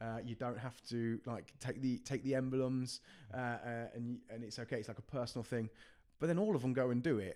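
A man's voice, dark and mellow in tone, moves along at a fairly quick pace. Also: medium pitch for a man, fairly even intonation. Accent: West Midlands. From English Midlands, Coventry. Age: 20s. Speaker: youth worker. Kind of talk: podcast interview.

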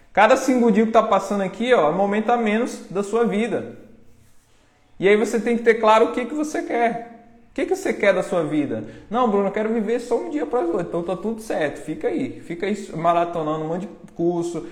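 Over noticeable background noise, a man talks fairly quickly in a high voice with lively intonation. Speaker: online marketing course seller. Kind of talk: live-stream pep talk. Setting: live stream. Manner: urgent, confrontational, motivational.

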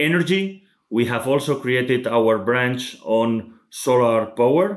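On a very clean recording with a silent background, a man with a Spanish accent talks at medium pitch with lively intonation. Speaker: logistics real estate executive. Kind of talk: interview. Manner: halting.

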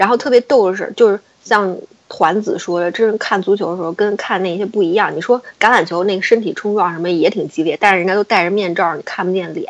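This woman rushes along at a very fast pace, her voice at a medium pitch. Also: ordinary pitch variation. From China. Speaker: podcast guest. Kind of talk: casual chat.

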